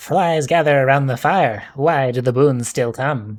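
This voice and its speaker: A raspy put-on character voice from a man, medium in pitch, at a moderate pace. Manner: eerie, spooky.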